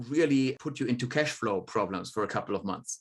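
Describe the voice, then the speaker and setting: A man speaks with a German accent at a moderate pace. The background is quiet. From Germany. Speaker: demographer. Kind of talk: podcast interview.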